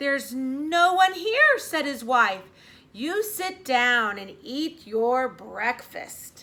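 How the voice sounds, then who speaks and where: A woman puts on a character voice, high in pitch. She speaks at a very slow pace. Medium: read story.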